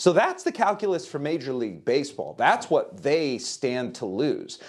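Fairly slow speech with vocal fry plays out against a quiet background. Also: man. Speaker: baseball reporter; sports reporter. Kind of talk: interview analysis. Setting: remote video link. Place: home room.

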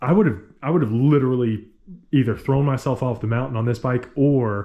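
Somewhat breathy, a man talks at a moderate pace against a quiet background. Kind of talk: casual vlog chat. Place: garage. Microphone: phone near.

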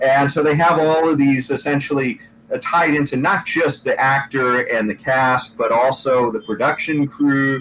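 Over light background noise, a man talks at a fairly high pitch with ordinary pitch variation. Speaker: political podcast host. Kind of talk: panel discussion. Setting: video call. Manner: hesitant, many fillers. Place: home room. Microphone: video call.

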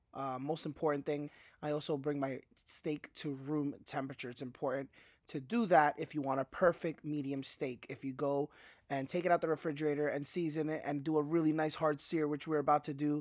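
A man's monotone, flat delivery at a fairly quick pace, with a quiet background and a dry sound with no echo. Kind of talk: tutorial. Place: kitchen.

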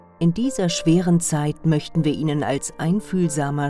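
A woman's fairly low voice at a fairly slow pace, with music in the background. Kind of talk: commercial voice-over for a funeral home. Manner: empathetic, calm.

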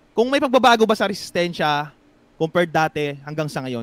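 A man with lively intonation, a dry, close sound with no echo, and a very clean recording with a silent background. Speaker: boxing channel host. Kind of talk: casual chat.

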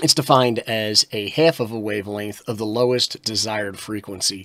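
A man keeps a moderate pace, the background around him quiet. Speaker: radio presenter. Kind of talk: tutorial.

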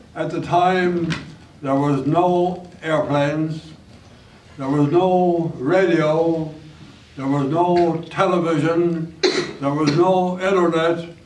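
Delivered at a very slow pace with fairly even intonation, the speech carries audible room echo over light background noise. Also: man, long, frequent pauses. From St. John's, Newfoundland. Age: 80s+. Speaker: school alumnus. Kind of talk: reminiscing talk to a school audience. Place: stage. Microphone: camera far.

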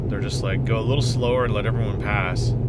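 Loud background noise surrounds a man's voice in dry sound with no echo. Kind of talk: casual vlog chat. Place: car. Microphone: phone near.

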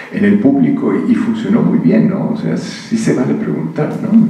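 Fairly slow speech in a Mexican accent, with audible room echo. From Mexico. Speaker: physicist. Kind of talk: public conversation. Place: hall.

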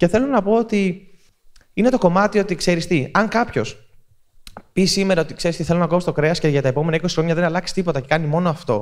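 A man's high voice, very fast and very even in loudness, with lively intonation over a quiet background. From Greece. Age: 30s. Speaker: content creator giving a talk. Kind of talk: public talk at a festival. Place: hall. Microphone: handheld.

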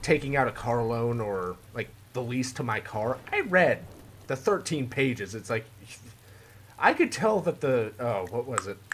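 Somewhat breathy, a man speaks at a fairly slow pace with ordinary pitch variation over light background noise. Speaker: gaming youtuber. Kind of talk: gameplay commentary. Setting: home recording room. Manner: animated. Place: home room. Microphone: headset.

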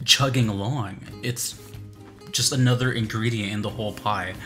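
Clear music plays in the background as a man talks at a fairly slow pace with ordinary pitch variation. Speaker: music reaction streamer. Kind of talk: commentary. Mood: enthusiastic, reflective. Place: home room.

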